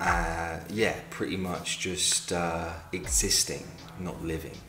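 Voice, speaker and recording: A man with a London accent and a very deep, low pitch speaks at a very slow pace with fairly even intonation. Audible room echo and noticeable background noise surround him. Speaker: film reviewer. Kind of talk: casual video review.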